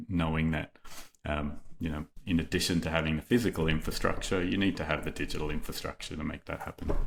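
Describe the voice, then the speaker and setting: A man with an Australian accent speaks at a fairly quick pace in a very deep, low voice with fairly even intonation, on a very clean recording with a silent background. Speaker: company executive. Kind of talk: podcast interview. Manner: hesitant, many fillers.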